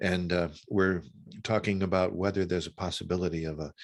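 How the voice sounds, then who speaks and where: This man talks with a very deep, low pitch. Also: very clean recording, silent background. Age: 60s. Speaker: author and former minister. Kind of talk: interview conversation. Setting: long-distance call. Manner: halting, many repetitions.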